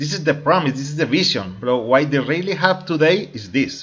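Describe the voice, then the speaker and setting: Speaking at a fairly high pitch with lively intonation, a man talks with a Spanish accent. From Colombia. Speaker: crypto network marketing promoter. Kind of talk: opinion video monologue. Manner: halting, with fillers and repetitions.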